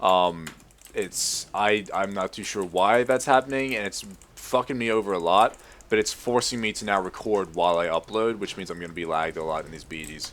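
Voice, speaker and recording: This speaker, with an American accent, talks at a fairly quick pace with ordinary pitch variation. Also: man, fairly low pitch for a man, big swings in loudness. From Australia. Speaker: gamer. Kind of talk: casual gameplay commentary. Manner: fast.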